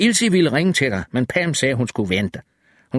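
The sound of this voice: The background stays quiet. The voice is an unforced reading voice.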